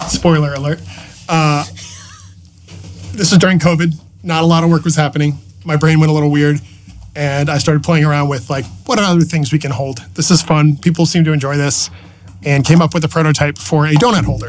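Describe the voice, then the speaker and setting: A somewhat breathy man with an American accent and fairly high pitch speaks at a fairly quick pace, with ordinary pitch variation and long, frequent pauses. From Massachusetts, New England. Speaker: hardware engineer and entrepreneur. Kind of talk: casual podcast interview. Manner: animated.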